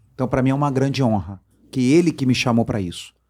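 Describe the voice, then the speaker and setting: Ordinary pitch variation in a Rio de Janeiro accent, in a very clean recording with a silent background. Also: man. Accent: carioca. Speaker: politician and fish businessman. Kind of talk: interview. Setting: studio.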